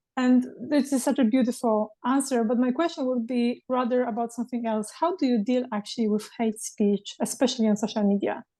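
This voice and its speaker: Over a quiet background, a woman with a non-native accent talks at a fairly quick pace with hardly any pauses, her high-pitched voice carrying a dark, mellow tone. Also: ordinary pitch variation. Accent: foreign accent in English. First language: Polish. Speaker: podcast host. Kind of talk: interview conversation.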